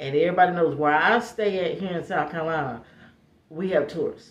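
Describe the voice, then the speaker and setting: A woman's loud voice carries an animated tone with ordinary pitch variation. Audible room echo surrounds it. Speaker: vlogger. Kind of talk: storytime chat.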